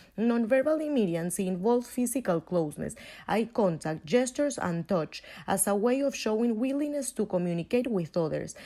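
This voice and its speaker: A woman with a Venezuelan accent speaks at a fairly high pitch in a dark, mellow tone, with very wide pitch swings and a fairly quick pace. The recording is very clean, with a silent background. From Venezuela, Caracas. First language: Spanish. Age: 20s. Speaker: university student. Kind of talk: scripted class presentation.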